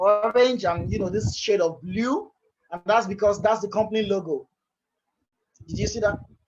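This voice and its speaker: A man at a high pitch talks at a moderate pace with fairly even intonation. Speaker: software developer and presenter. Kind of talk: technical presentation. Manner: hesitant, with fillers and repetitions.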